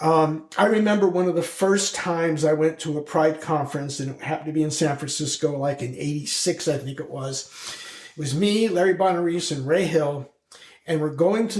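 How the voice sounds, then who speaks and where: A man's fairly high voice comes at a moderate pace. Noticeable background noise runs behind him. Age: 70s. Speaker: LGBTQ+ activist and community leader. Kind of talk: casual interview chat. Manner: halting, repeats words.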